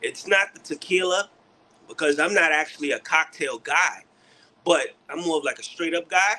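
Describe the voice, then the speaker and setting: A man talks with a New York accent at a moderate pace. His tone is bright and sharp. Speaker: beard care product maker. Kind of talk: livestream product chat. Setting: livestream.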